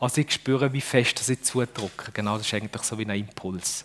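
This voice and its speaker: In a Fribourg accent, a man speaks at a moderate pace. His tone is animated. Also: dry, close sound with no echo. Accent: Fribourg Swiss German dialect. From Switzerland, Düdingen near Fribourg. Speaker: speaker with a bionic prosthetic hand. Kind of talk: talk to children. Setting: stage with audience.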